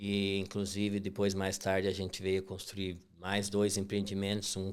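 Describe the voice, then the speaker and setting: The speech has monotone, flat intonation and an inland Brazilian accent. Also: man. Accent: rural inland Brazilian. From Brazil, western Santa Catarina countryside (Princesa). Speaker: construction company owner. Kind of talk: podcast interview.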